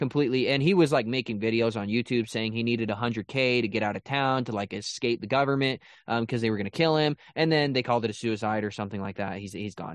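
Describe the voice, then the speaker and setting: Hardly pausing at all, a man speaks at a very fast pace. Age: 20s. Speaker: podcast co-host. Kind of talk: casual chat.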